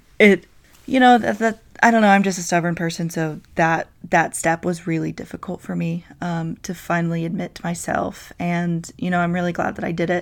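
The speaker, with an American accent, talks at a moderate pace with ordinary pitch variation on a very clean recording with a silent background. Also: woman, fairly low pitch for a woman. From North Carolina. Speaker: podcast host. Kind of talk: casual monologue. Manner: hesitant, many fillers.

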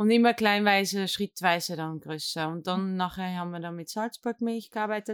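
A woman at medium pitch speaks at a moderate pace with hardly any pauses, fairly even intonation and big swings in loudness. The sound is dry and close with no echo, in a very clean recording with a silent background. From Netherlands. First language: Dutch (speaking German). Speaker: café owner. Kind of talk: interview. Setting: ice cream lab. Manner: halting.

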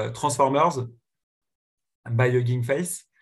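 A somewhat breathy man talks at a very slow pace and medium pitch. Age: 30s. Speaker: serial tech entrepreneur. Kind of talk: podcast interview. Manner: hesitant with frequent repetitions.

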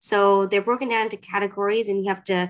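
A woman with a plain, everyday voice speaks at a fairly quick pace, her medium pitch held in fairly even intonation. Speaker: licensed psychotherapist. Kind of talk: interview about therapy.

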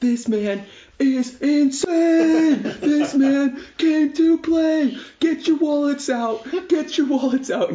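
A put-on character voice, high-pitched and shouting, moves at a very slow pace. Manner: screaming, excited.

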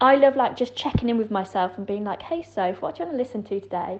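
Lively intonation runs through this woman's speech in a Yorkshire accent. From West Yorkshire, England. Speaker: podcast guest. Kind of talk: casual chat. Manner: hesitant, lots of fillers.

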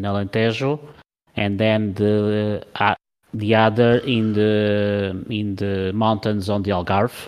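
Over a quiet background, a man with a Portuguese accent talks at a very slow pace, fairly low in pitch and monotone, with flat intonation. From Portugal. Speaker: podcast co-host. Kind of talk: casual chat.

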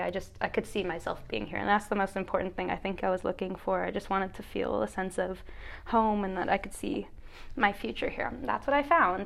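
A plain, everyday voice from a woman, medium in pitch, with ordinary pitch variation. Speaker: podcast host, college tennis player. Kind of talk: casual chat.

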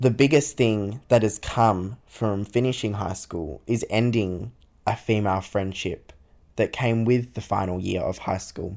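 A man with an ordinary speaking voice talks at a fairly slow pace in a fairly low pitch with ordinary pitch variation, on a very clean recording with a silent background. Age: 20s. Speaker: solo podcaster, university student. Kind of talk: casual personal monologue.

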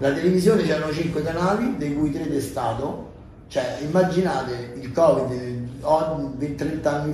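A man speaks at a moderate pace with a fairly high pitch and ordinary pitch variation. The recording has noticeable background noise and audible room echo. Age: 40s. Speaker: actor and entertainer. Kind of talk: casual chat.

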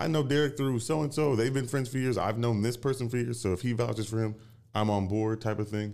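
Speaking fairly quickly, a man delivers his words. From Tacoma, Washington. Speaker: film production company founder. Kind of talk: interview. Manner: halting.

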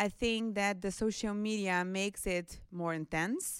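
A woman speaks with a Brazilian accent. Her pitch is medium, with ordinary pitch variation. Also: very clean recording, silent background. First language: Portuguese. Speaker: international office staff. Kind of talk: panel discussion.

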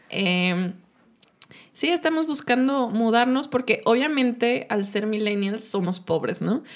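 Speaking at a very slow pace, a woman leaves long, frequent pauses. Her intonation is lively. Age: 20s. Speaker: podcast co-host. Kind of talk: casual chat.

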